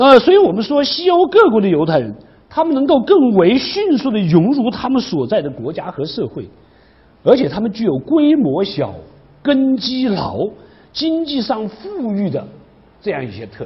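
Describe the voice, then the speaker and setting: A man with a high-pitched voice speaks at a moderate pace, his pitch swinging very widely. His loudness rises and falls a great deal. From China. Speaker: university history professor. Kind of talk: lecture. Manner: frequent filler particles. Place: classroom. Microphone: lapel.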